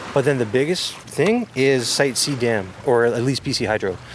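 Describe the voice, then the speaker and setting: Clear background noise is present throughout. Against it, a male speaker's pitch rises and falls normally. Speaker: First Nation government manager. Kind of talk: interview.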